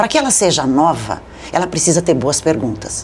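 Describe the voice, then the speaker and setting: A woman speaks at a fairly low pitch with very wide swings in her pitch, and noticeable noise sits in the background. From southern Brazil (Rio Grande do Sul). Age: 60s. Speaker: journalist and media consultant. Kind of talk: interview.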